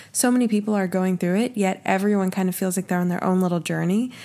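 A woman with an American accent and a normal speaking voice, medium in pitch, on a very clean recording with a silent background. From Oklahoma. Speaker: podcast co-host. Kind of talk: casual chat.

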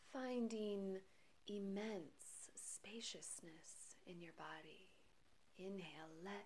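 A woman speaks at a very slow pace in a soothing, calm tone. Noticeable background noise runs underneath. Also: medium pitch for a woman, ordinary pitch variation. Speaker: meditation guide. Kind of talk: guided meditation. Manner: slow, soothing, calm and gentle; measured, hushed, with long pauses between phrases.

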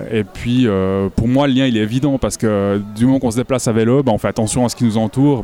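Over music in the background, a man talks at a very fast pace with medium pitch and fairly even intonation. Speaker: naturalist and illustrator. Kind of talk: casual interview. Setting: festival with crowd noise.

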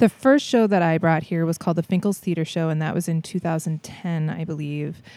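On a very clean recording with a silent background, a woman with an American accent speaks at a fairly quick pace, her fairly low voice dark and mellow with ordinary pitch variation. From Minnesota, Saint Paul. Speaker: theatre performer and creator. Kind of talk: casual interview.

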